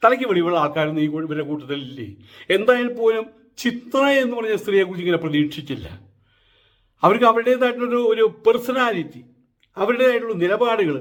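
The man speaks at a high pitch with lively intonation. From Kerala, Thrissur area. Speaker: political commentator. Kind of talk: opinion monologue. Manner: animated.

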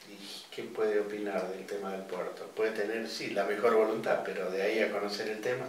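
A man at a fairly low pitch and fairly quick pace, with fairly even intonation and strong room echo

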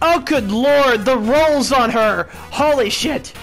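Over clear music in the background, a put-on character voice speaks at a high pitch and a fairly slow pace. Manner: lecherous, leering.

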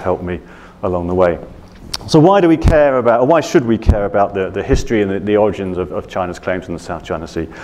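With a British accent, a man speaks at a very fast pace and a fairly low pitch. His intonation is lively. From Britain. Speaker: journalist and author on the South China Sea; speaker. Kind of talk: Q&A answers; lecture. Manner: hesitant, many fillers. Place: hall. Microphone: lapel.

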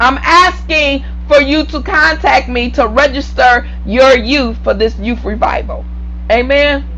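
A woman talks at a fairly slow pace with light background noise behind her. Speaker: preacher. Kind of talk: sermon with prayer and call-and-response. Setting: online video broadcast to a church audience. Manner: fervent, repetitive, preacherly cadence, urging the congregation to respond; halting, with repeated words and restarts. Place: home room. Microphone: lapel.

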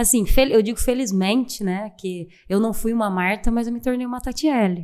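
A woman talks at a moderate pace with ordinary pitch variation. Her tone is dark and mellow, and the background is quiet. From Brazil, Minas Gerais (Poços de Caldas); Minas Gerais, Brazil. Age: 30s. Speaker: athlete, distance runner; guest. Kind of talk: interview, casual chat. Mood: warm, proud, smiling. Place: studio. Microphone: studio mic.

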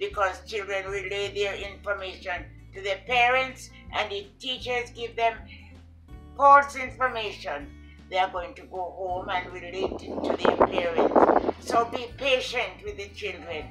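Faint music plays in the background as a woman speaks at a fairly slow pace, with a medium pitch and ordinary pitch variation. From Jamaica. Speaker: retired educator, former vice principal. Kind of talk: interview answer. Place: home room. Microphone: camera far.

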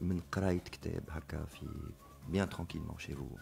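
A man is speaking. His tone is dark and mellow. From Tunisia. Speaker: book publisher; radio guest. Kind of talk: radio interview. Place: studio. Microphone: studio mic.

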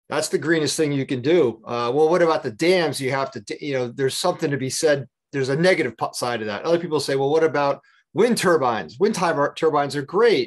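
A man talks at a fairly quick pace with a fairly high pitch and ordinary pitch variation. The background is quiet. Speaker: energy auditor and workshop presenter. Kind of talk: lecture. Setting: video call. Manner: fast talker; animated.

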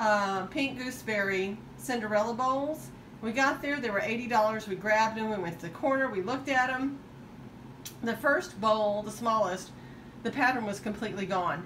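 Amid light background noise, a woman talks at a moderate pace with ordinary pitch variation. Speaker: estate sale reseller. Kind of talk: casual show-and-tell vlog. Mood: enthusiastic about bargains. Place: home room. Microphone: phone near.

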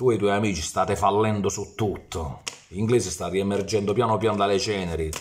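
Over light background noise, a man with a Foggia accent and a fairly low voice talks at a moderate pace. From Italy, Foggia (Apulia); Apulia, Italy. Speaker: football YouTuber. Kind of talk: ranting monologue. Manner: animated. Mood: mocking, heated rant. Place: home room. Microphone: phone near.

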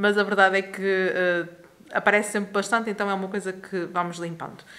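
A woman is speaking. Her pace is moderate. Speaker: home vlogger. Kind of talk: casual vlog chat. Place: home room. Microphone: phone near.

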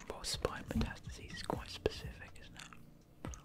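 A soft-spoken whisper. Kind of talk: casual study-along commentary. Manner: soft ASMR whisper close to mic. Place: home room. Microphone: studio mic.

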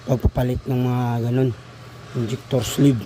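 At a moderate pace, a man talks at a medium pitch amid noticeable background noise. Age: old. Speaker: diesel mechanic. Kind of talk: tutorial. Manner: casual.

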